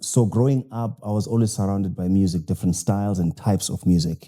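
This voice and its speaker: Very deep and low, a man's voice carries a dark, mellow tone at a fairly quick pace. The recording is very clean, with a silent background. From South Africa, KwaZulu-Natal. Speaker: jazz violinist and pastor. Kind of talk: interview. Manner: hesitant, many fillers.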